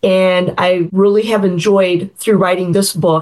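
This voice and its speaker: A woman at a medium pitch and moderate pace, in an ordinary speaking voice. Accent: American. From US Midwest, Chicago suburbs. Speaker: novelist. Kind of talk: interview.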